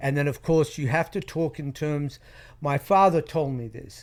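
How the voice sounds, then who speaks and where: Someone speaks with an Australian accent on a very clean recording with a silent background. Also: man. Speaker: private investigator. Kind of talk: interview storytelling.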